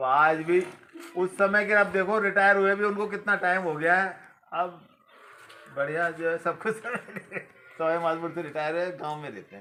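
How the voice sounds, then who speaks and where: At a moderate pace, a man with a high voice speaks in a fairly even tone, leaving long, frequent pauses. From Rajasthan, Sawai Madhopur area. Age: 60s. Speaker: retired man revisiting childhood village. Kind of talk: casual chat.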